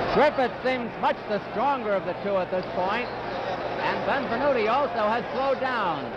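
A man with an extremely high pitch talks at a moderate pace, with ordinary pitch variation and hardly any pauses. Loud background noise fills the dry, echo-free sound. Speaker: boxing commentator. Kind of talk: live ring commentary, fight broadcast. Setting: arena broadcast, archive TV. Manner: brisk, clipped play-by-play; informative, matter-of-fact. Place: stadium.

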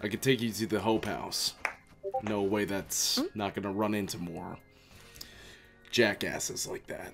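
Over clear background music, a man does a put-on character voice at a fairly low pitch. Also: moderate pace. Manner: calm, cryptic, quietly menacing.

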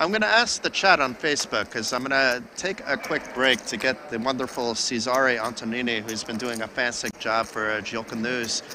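Against noticeable background noise, a man with an American accent speaks at a fairly quick pace with hardly any pauses and ordinary pitch variation. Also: medium pitch for a man. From New Jersey, US. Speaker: poker commentator. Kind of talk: live commentary. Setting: live stream at poker tournament.

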